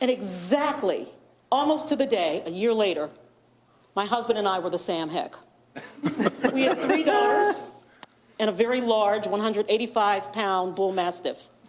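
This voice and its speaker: With lively intonation and an animated tone, a woman with a fairly high pitch talks at a moderate pace, taking long, frequent pauses against noticeable background noise. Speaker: journalist and media board member. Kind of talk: public presentation at a meeting. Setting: township board meeting.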